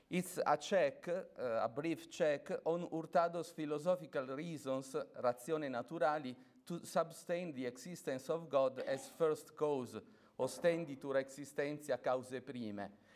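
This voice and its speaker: Someone with an Italian accent speaks at a fairly slow pace with ordinary pitch variation. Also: man, fairly high pitch for a man. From Italy. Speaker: academic speaker, priest. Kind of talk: conference lecture. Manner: halting, many fillers.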